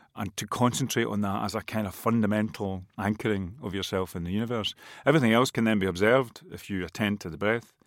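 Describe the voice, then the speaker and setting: A man's fairly low voice in a Scottish accent, very fast and with fairly even intonation, on a very clean recording with a silent background. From west of Scotland. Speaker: musician and writer. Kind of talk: interview.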